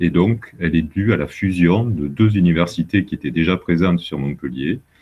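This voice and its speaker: A man speaks in a southern French accent with a very deep, low pitch, ordinary pitch variation and hardly any pauses. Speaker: university vice-president and geologist. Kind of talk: presentation to students. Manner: hesitant, many fillers.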